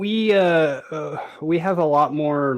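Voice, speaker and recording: A man speaks with an American accent. His intonation is lively. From Canada. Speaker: space engineer and game streamer. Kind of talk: casual interview chat. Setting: voice call over internet. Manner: hesitant, many fillers.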